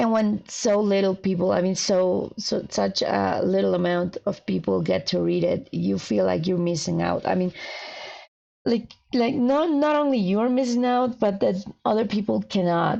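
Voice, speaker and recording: A woman with a Spanish accent speaks at a fairly slow pace. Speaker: fanfiction writer streamer. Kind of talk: casual livestream chat. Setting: livestream. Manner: halting.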